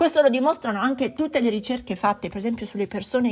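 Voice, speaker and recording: The voice belongs to a woman and is somewhat breathy. Her pitch variation is ordinary. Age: 40s. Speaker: psychologist podcast host. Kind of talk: podcast monologue.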